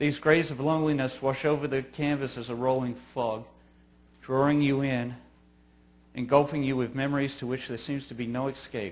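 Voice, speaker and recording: At a moderate pace, a man speaks at a medium pitch with monotone, flat intonation. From Australia. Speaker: grieving father giving a talk. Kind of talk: scripted narration. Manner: formal.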